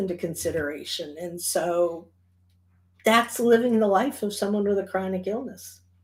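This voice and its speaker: A somewhat breathy woman with a Michigan accent, animated tone and moderate pace. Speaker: charity organizer. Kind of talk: event announcement.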